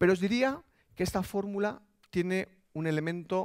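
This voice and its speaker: A man talks with a quiet background. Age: 30s. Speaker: digital business executive; keynote speaker. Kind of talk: motivational talk. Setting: stage with audience. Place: stage. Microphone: headset.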